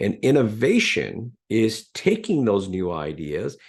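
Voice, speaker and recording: The voice carries vocal fry and very wide pitch swings. The background is quiet. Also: man. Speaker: business professor. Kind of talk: webinar lecture. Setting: online webinar.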